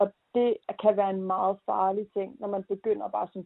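A woman's plain, everyday voice at medium pitch and a moderate pace. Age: 20s. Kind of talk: interview.

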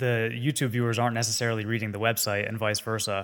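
On a very clean recording with a silent background, a man speaks at medium pitch with fairly even intonation in an ordinary speaking voice. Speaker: podcast co-host.

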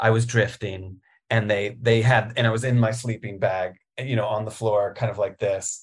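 A man with an American accent talks at a fairly slow pace in a medium pitch, sounding somewhat breathy. The recording is very clean, with a silent background. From Virginia, Richmond. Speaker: writer. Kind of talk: casual chat.

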